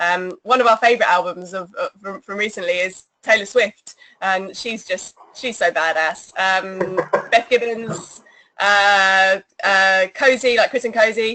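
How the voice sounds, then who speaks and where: A woman with an English accent speaks at medium pitch and a fairly slow pace, with ordinary pitch variation. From England. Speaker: singer in an electronic band. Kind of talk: interview.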